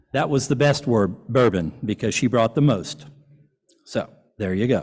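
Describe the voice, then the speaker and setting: Speaking with an American accent, a man uses a medium pitch, lively intonation, and vocal fry at a moderate pace. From US South. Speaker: event presenter, local government official. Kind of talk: award presentation at a dinner. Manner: casual, joking.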